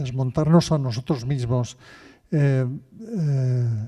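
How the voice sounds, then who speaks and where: Very slowly, a man speaks at medium pitch in a dark, mellow tone with ordinary pitch variation. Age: 60s. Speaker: audience member. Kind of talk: audience question. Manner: halting.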